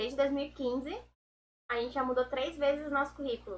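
A woman with a high pitch speaks at a fairly quick pace in a raised, projected voice. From Pernambuco and Pelotas, Brazil. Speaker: agricultural engineering student. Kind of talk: casual chat.

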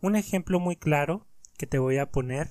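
A man with a normal speaking voice and a fairly high pitch talks at a fairly slow pace on a very clean recording with a silent background. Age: 20s. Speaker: motivational podcaster. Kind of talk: motivational monologue.

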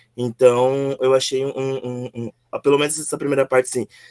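A man with an ordinary speaking voice and a fairly high pitch talks at a moderate pace in a dry, close sound with no echo. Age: 20s. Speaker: book club member. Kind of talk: casual chat.

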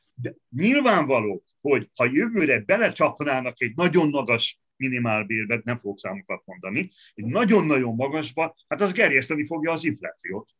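With a fairly high pitch and very wide pitch swings, a man talks at a moderate pace in a dry, close sound with no echo. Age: 60s. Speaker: economist and opposition politician. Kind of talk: interview.

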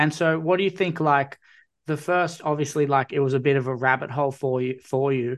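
In an Australian accent, a man talks with fairly even intonation and a fairly high pitch. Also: quiet background. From Newcastle, New South Wales. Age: 20s. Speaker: podcast host. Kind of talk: casual chat.

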